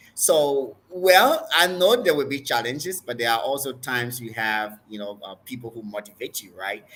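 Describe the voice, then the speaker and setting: A medium-pitched man with a Liberian accent at a moderate pace with hardly any pauses, lively intonation and big swings in loudness, against noticeable background noise. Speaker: doctor and preacher. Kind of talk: interview.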